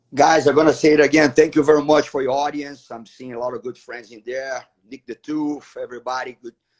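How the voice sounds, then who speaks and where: A fairly quick, monotone, flat delivery in a Portuguese accent, with big swings in loudness and hardly any pauses. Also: man, fairly high pitch for a man. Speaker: martial arts professor. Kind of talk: live interview. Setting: livestream.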